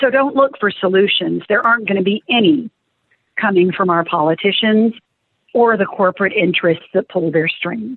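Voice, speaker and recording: At a moderate pace, a woman with an American accent speaks in an unremarkable speaking voice, her medium pitch carried by lively intonation and very even loudness. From Rio Grande Valley, South Texas. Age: 50s. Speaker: nature center executive director. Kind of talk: interview.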